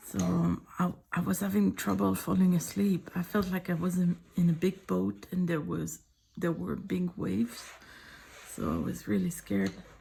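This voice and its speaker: A soft-spoken woman with a French accent at a moderate pace. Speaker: artist. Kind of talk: casual sketchbook tour chat.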